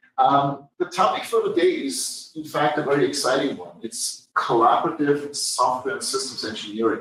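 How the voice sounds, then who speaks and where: A man at a moderate pace, his loudness swinging widely, with audible room echo. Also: hardly any pauses. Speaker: professor. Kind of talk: lecture.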